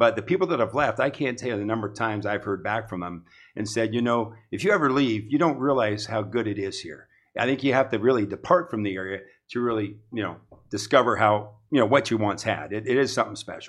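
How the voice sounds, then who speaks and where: Against a quiet background, a man with a Midwestern American accent talks very fast at medium pitch with ordinary pitch variation. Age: 60s. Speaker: real estate broker. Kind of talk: casual interview.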